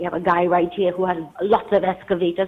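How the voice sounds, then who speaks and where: A woman with a Trinidadian accent talks at a fairly quick pace in a medium pitch. Noticeable background noise sits behind her. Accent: local Trinidadian. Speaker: caller. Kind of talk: call-in complaint.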